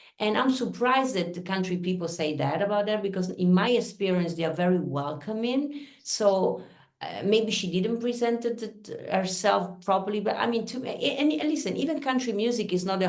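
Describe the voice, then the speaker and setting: A woman with an Italian accent speaks at a fairly quick pace with hardly any pauses and lively intonation. The room echo is audible, and there is noticeable background noise. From Italy. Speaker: singer-songwriter. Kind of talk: interview conversation.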